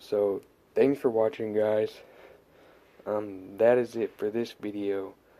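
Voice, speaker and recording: Quiet and fairly low-pitched, the man's voice has a dark, mellow tone. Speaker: RC hobby YouTuber. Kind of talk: casual tutorial. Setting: at home late at night. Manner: quiet, subdued.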